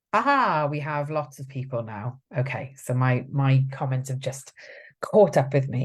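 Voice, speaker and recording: Very deep and low in pitch, a woman speaks somewhat breathily at a fairly slow pace with ordinary pitch variation, on a very clean recording with a silent background. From South Wales. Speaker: support advocate hosting a live stream. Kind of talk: live stream talk reading comments. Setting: Facebook live video. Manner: conversational with many fillers.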